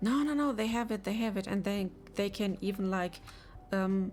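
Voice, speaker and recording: Over music in the background, a woman speaks at a medium pitch with ordinary pitch variation and a non-native accent. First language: not English. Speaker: game developer streamer. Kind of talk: live dev stream chat. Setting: live stream. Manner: halting, many fillers.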